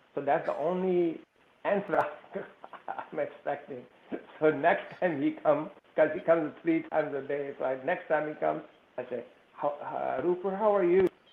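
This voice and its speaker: Pausing long and often, a man speaks at a moderate pace and a fairly high pitch with ordinary pitch variation. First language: not English. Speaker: panelist, immigrant business owner. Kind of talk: personal anecdote in panel discussion.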